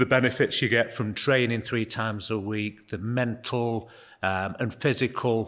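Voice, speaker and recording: A man speaks with a Manchester accent at a medium pitch and a moderate pace. His intonation is fairly even, and the recording is very clean with a silent background. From northern England, Altrincham/Sale area. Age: 60s. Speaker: gym member. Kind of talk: casual interview.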